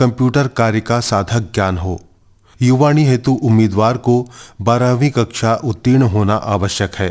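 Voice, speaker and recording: In a very clean recording with a silent background, a man with a plain, everyday voice speaks at medium pitch with ordinary pitch variation. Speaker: radio announcer. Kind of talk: radio announcement / public notice.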